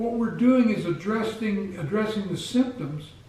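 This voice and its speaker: Noticeable background noise sits behind a man with a high pitch. His intonation is lively and his pace fairly slow. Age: 60s. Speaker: health vlogger. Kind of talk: casual talk to camera.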